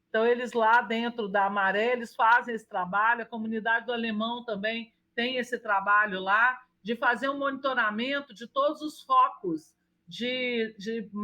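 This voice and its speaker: A woman speaks at a moderate pace in a Minas Gerais accent, her fairly high voice bright and sharp, with fairly even intonation. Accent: mineiro (Minas Gerais). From Brazil, Minas Gerais. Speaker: urban planner and architect. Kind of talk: interview. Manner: halting with frequent restarts.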